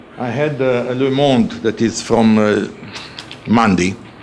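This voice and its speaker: Noticeable background noise accompanies a man with a medium pitch who speaks at a very slow pace. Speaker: audience member, government advisor. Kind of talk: audience question. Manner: halting.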